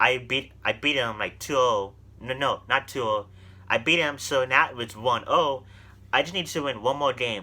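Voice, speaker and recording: In a very clean recording with a silent background, a man talks at a moderate pace in a bright, sharp tone, his medium pitch showing ordinary variation. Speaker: gaming youtuber. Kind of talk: casual storytelling. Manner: halting, many fillers.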